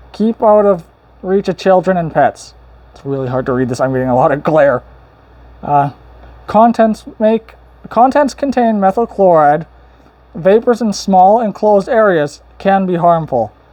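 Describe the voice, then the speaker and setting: The pace is moderate. Long pauses come often. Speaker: hobbyist vlogger. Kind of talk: casual unboxing vlog.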